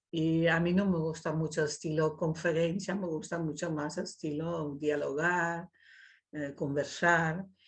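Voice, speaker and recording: Against a quiet background, a woman speaks fairly slowly in a fairly low, monotone, flat voice. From Netherlands. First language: Dutch (speaking Spanish). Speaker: invited speaker, writer. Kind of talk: talk in an online dialogue session.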